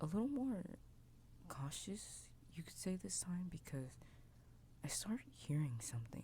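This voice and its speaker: Soft-spoken, a man talks at a very slow pace. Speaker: VTuber ASMR creator. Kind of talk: first-person story narration.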